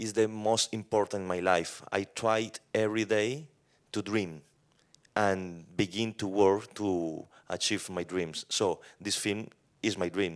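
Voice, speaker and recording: A man with a Colombian accent speaks at a fairly slow pace in a fairly low pitch and fairly even intonation, captured in a very clean recording with a silent background. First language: Spanish. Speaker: film director. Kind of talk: post-screening Q&A. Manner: halting.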